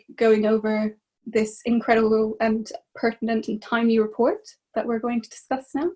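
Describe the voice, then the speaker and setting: Against a quiet background, a woman with an Irish accent speaks at a moderate pace, her fairly high-pitched voice somewhat breathy and dark, mellow in tone. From Ireland. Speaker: academic. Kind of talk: panel discussion. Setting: video call. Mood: warm, animated. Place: home room. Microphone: webcam.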